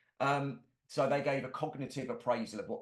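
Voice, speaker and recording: A medium-pitched man's voice with a London accent. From London, England. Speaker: musculoskeletal therapist and presenter. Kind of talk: webinar lecture. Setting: online webinar.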